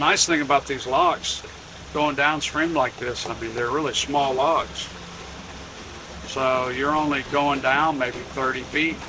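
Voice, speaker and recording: A man with a fairly high voice speaks in a flat monotone at a fairly slow pace, with long, frequent pauses and noticeable background noise. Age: 60s. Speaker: boating vlogger. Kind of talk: casual vlog narration. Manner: halting.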